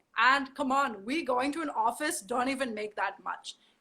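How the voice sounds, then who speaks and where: A woman's raised, projected, high-pitched voice in a strong German accent, bright and sharp in tone, with lively intonation at a moderate pace. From Germany. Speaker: model. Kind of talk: interview.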